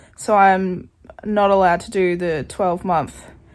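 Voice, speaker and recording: Speaking with an Australian accent, a woman keeps a fairly slow pace. Her pitch sits in the medium range. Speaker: student vlogger. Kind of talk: vlog.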